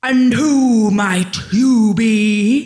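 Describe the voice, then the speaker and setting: The speaker uses a put-on character voice at a fairly high pitch. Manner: menacing, astonished.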